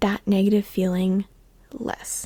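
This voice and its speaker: Whispering and soft-spoken, the speaker moves at a fairly slow pace. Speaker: podcast host. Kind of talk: casual solo chat. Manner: soft-spoken, near whisper.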